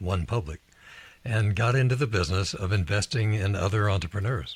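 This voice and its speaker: Somewhat breathy, a man talks at a moderate pace with a fairly low pitch. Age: 80s+. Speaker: leadership author and investor. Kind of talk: interview.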